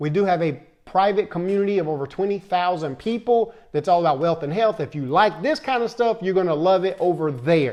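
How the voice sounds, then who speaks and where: A high-voiced man with an American accent at a fairly quick pace, against a quiet background. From Tennessee. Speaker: motivational video host. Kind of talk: motivational talk.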